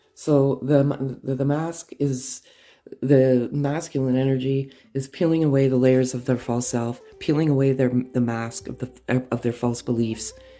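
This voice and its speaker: Music plays in the background as the voice proceeds at a fairly slow pace. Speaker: tarot reader. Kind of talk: spiritual reading. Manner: halting.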